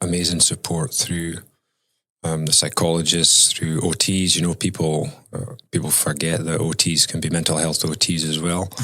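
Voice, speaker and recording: A speaker with a Scottish accent talks at a moderate pace in a bright, sharp tone, the intonation staying fairly even. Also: man, very deep, low pitch for a man. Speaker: mental health consultant. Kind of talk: interview.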